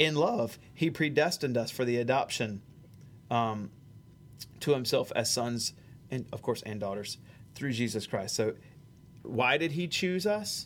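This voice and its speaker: With a Southern US accent, a man of medium pitch speaks at a fairly slow pace, with lively intonation and long, frequent pauses. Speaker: pastor. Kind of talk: theology discussion. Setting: church sound booth.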